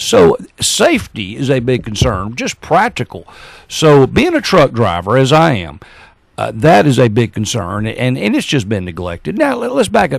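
With a Southern US accent, a man speaks at a moderate pace. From Alabama, Gadsden. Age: 60s. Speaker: mayoral candidate. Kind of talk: political interview. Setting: radio studio.

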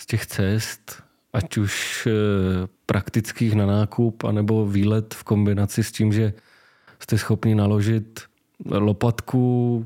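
A man speaks very slowly in a fairly low, dark, mellow voice. His intonation is monotone and flat. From Czech Republic, Slovácko (Moravia). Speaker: cargo bike seller. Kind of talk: casual interview.

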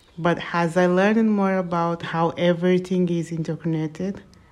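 A woman with a Portuguese accent has a fairly low pitch and a dark, mellow tone. She talks at a moderate pace in a monotone, flat intonation, with a quiet background. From Angola, raised in Portugal from age six. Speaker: sustainability blogger. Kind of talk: personal reflection monologue.

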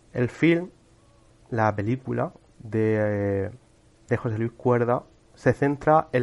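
A man talks at a medium pitch. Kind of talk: cultural commentary monologue. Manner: halting, many fillers and repetitions.

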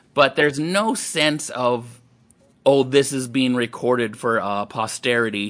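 A man's voice at medium pitch, fairly slow pace and ordinary pitch variation, a normal speaking voice. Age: 40s. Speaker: stand-up comedian. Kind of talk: casual chat.

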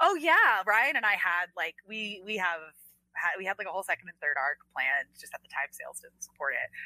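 A fairly quick delivery in an American accent, with big swings in loudness and a dry, close sound with no echo. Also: woman. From Washington D.C. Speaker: comic book writer. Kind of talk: casual interview chat.

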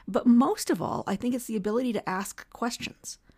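At a moderate pace, a woman talks with a Canadian accent. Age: 50s. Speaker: senator and former journalist. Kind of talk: casual interview chat. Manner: talkative.

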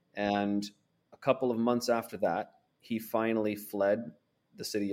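Speaking with a Pacific Northwest accent, a man uses a fairly low pitch and fairly even intonation. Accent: American (Pacific Northwest). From US Pacific Northwest, Portland, Oregon. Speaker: foreign correspondent and author. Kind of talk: interview. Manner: halting, many fillers and repetitions.

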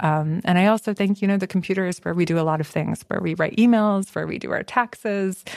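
A woman with an American accent and fairly even intonation, in a dry, close sound with no echo. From first-generation American. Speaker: writer. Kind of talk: casual conversation.

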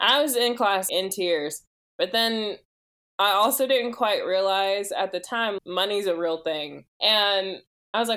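An unremarkable speaking voice with an American accent, at a fairly slow pace. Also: woman. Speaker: coffee consultant. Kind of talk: interview conversation.

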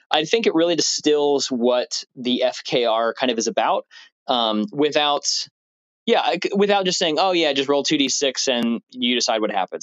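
A man with an ordinary speaking voice talks at a medium pitch. His moderate pace comes with lively intonation. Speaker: podcaster sending a message. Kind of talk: casual recorded message.

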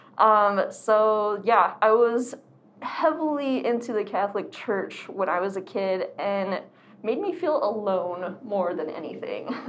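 A fairly high, lively woman's voice with an American accent, a fairly slow pace and audible room echo. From Arizona. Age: 20s. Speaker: artist and activist. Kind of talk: casual chat.

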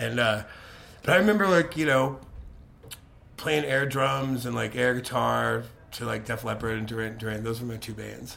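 A man at a moderate pace with long, frequent pauses, against noticeable background noise. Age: 30s. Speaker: touring musician. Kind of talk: casual interview.

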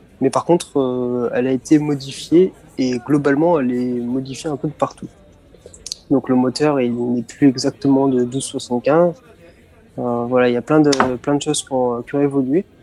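With music in the background, a man speaks at a moderate pace and medium pitch, using fairly even intonation and long, frequent pauses. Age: 20s. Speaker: student and car enthusiast. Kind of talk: interview.

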